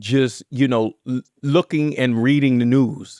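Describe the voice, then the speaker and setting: A man with an American accent and a normal speaking voice talks at a fairly slow pace in a medium pitch. The sound is dry and close, with no echo. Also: very clean recording, silent background. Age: 50s. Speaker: podcast host. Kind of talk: interview.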